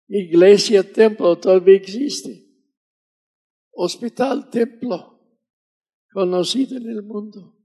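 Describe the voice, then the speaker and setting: A man's dark, mellow voice, high for a man, at a very slow pace with long, frequent pauses, ordinary pitch variation and big swings in loudness. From US South. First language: English (speaking Spanish). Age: 80s+. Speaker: missionary preacher. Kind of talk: sermon.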